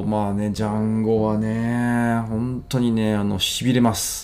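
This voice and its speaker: His dark, mellow voice sits fairly low for a man and stays monotone and flat. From Japan, Ibaraki. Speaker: podcaster and restaurant owner. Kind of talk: solo podcast monologue. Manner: many fillers, casual and halting.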